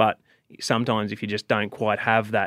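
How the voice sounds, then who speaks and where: A man with a fairly low pitch speaks in a bright, sharp tone and a flat monotone, on a very clean recording with a silent background and a dry, close sound with no echo. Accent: Australian. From Australia. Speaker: professional bass angler. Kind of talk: casual chat.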